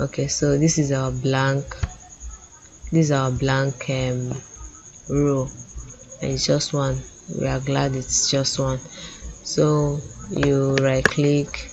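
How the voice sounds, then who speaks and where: With a Nigerian accent, the speaker goes at a very slow pace with long, frequent pauses over noticeable background noise. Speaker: data analytics tutor. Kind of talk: screen-share tutorial. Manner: casual with frequent fillers.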